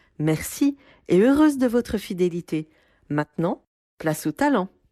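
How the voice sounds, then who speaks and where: A woman speaks at a fairly slow pace in a medium pitch with very wide pitch swings and a dark, mellow tone. The sound is dry and close with no echo, over a quiet background. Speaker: podcast host. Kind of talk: podcast intro.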